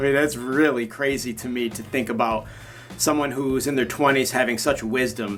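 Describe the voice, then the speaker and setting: A man speaks in a plain, everyday voice at medium pitch and moderate pace, keeping his intonation fairly even. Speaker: YouTuber covering Korean pop culture. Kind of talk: casual vlog commentary.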